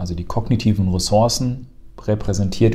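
A man's somewhat breathy, fairly low voice at a moderate pace. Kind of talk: casual educational chat.

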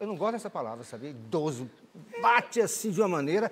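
Over light background noise, a man with high pitch speaks very fast with very wide pitch swings. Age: 60s. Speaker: TV morning show host. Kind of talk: TV studio interview. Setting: TV studio. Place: studio. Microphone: lapel.

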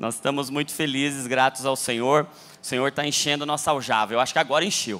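This man's voice sits fairly high and has a bright, sharp tone. He sounds animated. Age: 30s. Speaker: pastor. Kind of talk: sermon. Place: church. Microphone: handheld.

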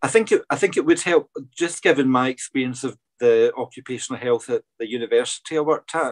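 A man speaks in a Scottish accent with ordinary pitch variation. The background is quiet. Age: 40s. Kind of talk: interview. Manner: hesitant, many fillers. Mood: open, reflective. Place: home room. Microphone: video call.

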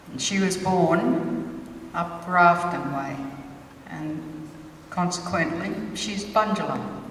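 A woman speaks at a very slow pace in a fairly low pitch with fairly even intonation, with audible room echo and light background noise. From Sydney, Australia (Alexandria). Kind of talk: ceremonial welcome speech. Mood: proud, warm, measured. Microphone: handheld.

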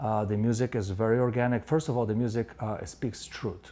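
Here a man speaks with ordinary pitch variation. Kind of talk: interview answer. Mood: earnest, reflective. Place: home room. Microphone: lapel.

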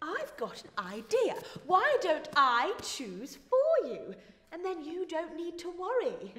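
Speaking very slowly, a woman with an extremely high pitch makes very wide pitch swings and big swings in loudness, with audible room echo. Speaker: actor playing a controlling character. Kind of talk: theatrical dialogue. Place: stage.

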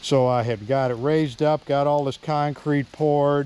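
A man speaks at a moderate pace, the sound dry with no echo. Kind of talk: casual vlog chat. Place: forest. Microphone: phone near.

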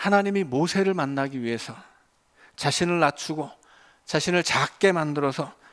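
The recording is very clean with a silent background. A man with a fairly high pitch talks at a moderate pace with ordinary pitch variation. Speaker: pastor. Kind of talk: sermon. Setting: church. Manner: hesitant fillers (어,).

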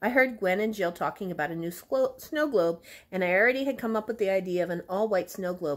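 The clip features a natural reading voice. Intonation is lively.

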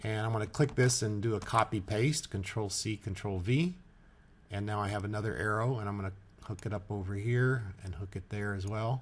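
This man's voice sits fairly low. It sounds somewhat breathy. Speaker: software tutorial maker. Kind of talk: tutorial. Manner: casual, halting with fillers.

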